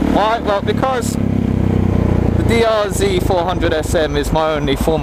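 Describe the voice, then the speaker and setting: Male speech marked by audible room echo, noticeable background noise underneath. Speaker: motorcycle vlogger. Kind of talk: casual vlog monologue. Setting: outdoors riding a motorcycle in snow.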